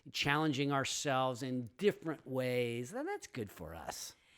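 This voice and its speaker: He talks fairly slowly. The man has an unremarkable speaking voice, pitched in the medium range. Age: 50s. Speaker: podcast host. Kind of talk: casual chat.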